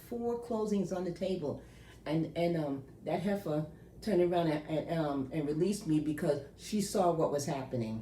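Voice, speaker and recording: With lively intonation and an animated tone, a woman speaks at a moderate pace in a fairly low pitch, and the room echo is audible. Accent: American. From New York. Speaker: loan processor. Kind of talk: casual advice monologue.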